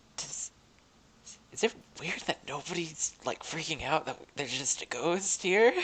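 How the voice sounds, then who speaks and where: In a put-on character voice, someone whispers quietly and breathily at a moderate pace. Long, frequent pauses break up the speech. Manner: whispering.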